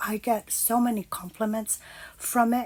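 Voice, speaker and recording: A woman is speaking. Her pace is moderate. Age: 50s. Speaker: lifestyle vlogger. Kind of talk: casual vlog talk. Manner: hesitant, many fillers.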